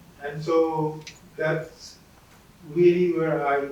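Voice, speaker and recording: A man's fairly high voice carries audible room echo amid noticeable background noise. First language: not English. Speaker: former student. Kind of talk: panel talk.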